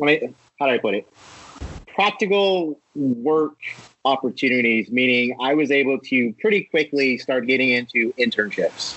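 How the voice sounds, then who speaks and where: A man with an ordinary speaking voice and an American accent talks at a moderate pace and a medium pitch. His intonation is lively and his loudness stays very even. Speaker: film producer. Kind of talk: casual interview.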